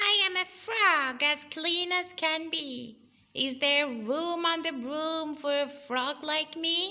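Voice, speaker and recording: A woman puts on a character voice. It is croaky and high in pitch. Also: fairly slow pace. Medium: read story.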